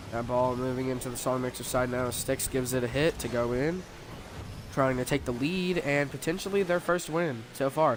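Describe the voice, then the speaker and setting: Over noticeable background noise, a man talks at a moderate pace. His pitch is medium with ordinary variation. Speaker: sports commentator. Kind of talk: live commentary.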